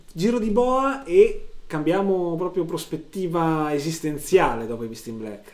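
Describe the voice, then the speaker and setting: A man speaks at a high pitch with very wide pitch swings and hardly any pauses. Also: big swings in loudness. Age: middle-aged. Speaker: podcast co-host and sound technician. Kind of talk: casual chat.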